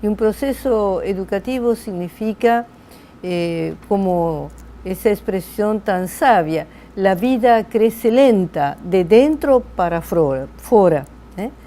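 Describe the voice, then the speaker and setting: A woman speaks at a medium pitch with lively intonation. Her pace is very slow. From Argentina. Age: 80s+. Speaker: psychologist, logotherapy professor. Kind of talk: interview.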